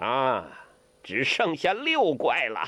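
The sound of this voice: A man puts on a character voice, slow and bright, with a sharp tone. His medium pitch swings very widely.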